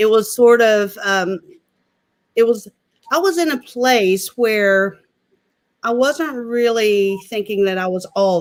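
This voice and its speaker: With an Appalachian accent, the speaker talks at a fairly slow pace. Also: woman. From West Virginia, Mingo County. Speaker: political candidate. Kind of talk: casual chat.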